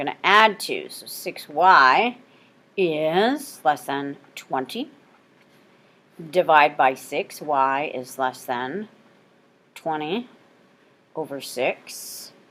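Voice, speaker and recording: The delivery is very slow, with long, frequent pauses. The intonation is lively. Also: woman, big swings in loudness. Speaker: math teacher. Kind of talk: recorded lesson.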